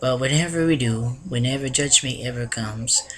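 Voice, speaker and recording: The man's voice sits at medium pitch. He speaks at a fairly slow pace. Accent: Filipino. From Philippines. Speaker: vlogger. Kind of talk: casual vlog monologue. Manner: halting, with many restarts.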